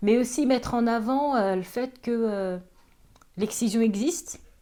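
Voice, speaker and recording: Dark and mellow in tone, a woman's fairly high voice moves at a moderate pace with ordinary pitch variation. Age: 40s. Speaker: author and activist. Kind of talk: interview testimony. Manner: hesitant, many fillers.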